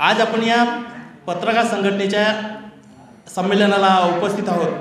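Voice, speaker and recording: A man speaks with a high pitch in a monotone, flat intonation. Audible room echo and noticeable background noise surround him. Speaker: journalist and journalism professor. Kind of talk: conference speech.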